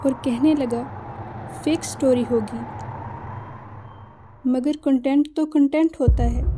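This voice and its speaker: Pitched high for a woman, her delivery stays monotone and flat. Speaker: storyteller. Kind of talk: horror story narration.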